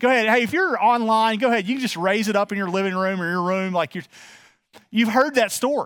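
Lively intonation marks this man's speech, delivered with a Texas accent. The recording is very clean, with a silent background. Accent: Texas Southern US. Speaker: pastor. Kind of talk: sermon. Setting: church. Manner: informal, warm, many filler words.

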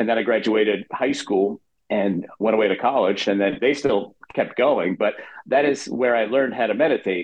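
The man's pitch is medium. He talks at a moderate pace. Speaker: meditation instructor. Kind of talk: interview.

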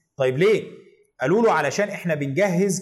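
The speech moves at a fairly quick pace. Audible room echo is present. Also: man. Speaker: history educator. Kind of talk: educational lecture video.

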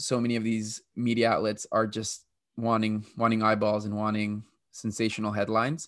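A man with an American accent has a normal speaking voice and medium pitch. He talks at a moderate pace over a quiet background. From Texas. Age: 20s. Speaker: teacher and immigration advocate. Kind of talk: interview.

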